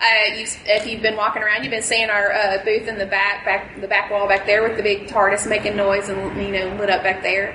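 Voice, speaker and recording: Someone with a Southern US accent talks at a fairly quick pace with hardly any pauses, in a monotone, flat intonation. Noticeable background noise and audible room echo are present. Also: woman, medium pitch for a woman. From rural Mississippi. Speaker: costuming fan group leader. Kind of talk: convention panel talk.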